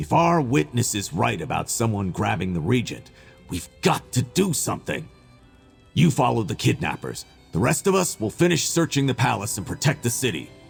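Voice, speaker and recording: A man's put-on character voice at a medium pitch and moderate pace, with very wide pitch swings and faint music in the background. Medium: video game. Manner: casual, friendly.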